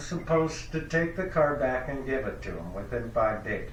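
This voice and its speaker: A man with lively intonation at a moderate pace, amid noticeable background noise and audible room echo. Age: 60s. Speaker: podcast host. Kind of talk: phone call.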